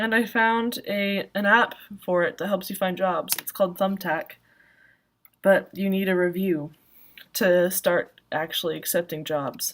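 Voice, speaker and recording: A woman speaks softly at a moderate pace. Her pitch is medium, with ordinary variation. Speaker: vlogger and self-published author. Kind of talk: casual solo vlog. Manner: soft-spoken, speaks quietly; many filler words, ums and likes.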